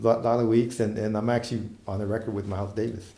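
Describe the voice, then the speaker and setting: A dark, mellow tone at a very fast pace, with ordinary pitch variation and audible room echo. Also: man. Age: 60s. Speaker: saxophonist. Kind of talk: interview. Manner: halting.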